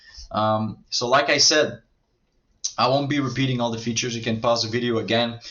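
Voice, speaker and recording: Here is a man speaking. His accent is French. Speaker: marketing agency owner. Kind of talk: sales pitch. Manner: halting, many filler words.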